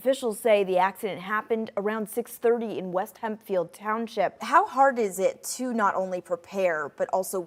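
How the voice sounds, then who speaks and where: This woman has an unremarkable speaking voice, pitched fairly high. She keeps a moderate tempo, and her pitch moves in an ordinary way. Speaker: TV news reporter and fill-in anchor. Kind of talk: broadcast news voiceover and live shot delivery. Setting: TV news field reporting.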